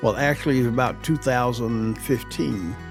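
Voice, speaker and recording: A man speaks at medium pitch with an American accent, using ordinary pitch variation. His pace is fairly slow, and music plays in the background. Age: 70s. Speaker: retired TV news reporter and anchor. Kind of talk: interview answer. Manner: conversational, reflective.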